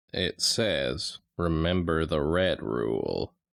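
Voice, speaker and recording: A man speaks very slowly in a put-on character voice, his pitch very deep and low. The recording is very clean, with a silent background. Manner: through gritted teeth, forced politeness.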